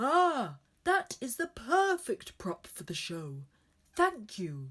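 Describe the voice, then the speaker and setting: A female-sounding voice puts on a character voice, speaking at a very slow pace in a high pitch with very wide pitch swings. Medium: read story.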